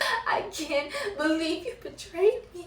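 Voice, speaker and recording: This put-on character voice is extremely high and shaky. It moves at a fairly slow pace. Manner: hurt, betrayed.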